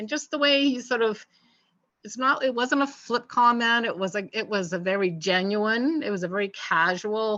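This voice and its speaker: A woman speaks at a moderate pace with a fairly high pitch and lively intonation. Her tone is bright and sharp, and the background is quiet. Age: 60s. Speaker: nurse with MS, interview guest. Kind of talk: casual interview. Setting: studio.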